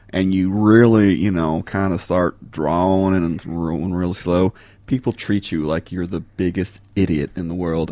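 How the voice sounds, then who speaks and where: Putting on a character voice with a Texas accent, a man drawls at a moderate pace in a very deep, low pitch with fairly even intonation. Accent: Texas twang. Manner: slow, drawling, rolling.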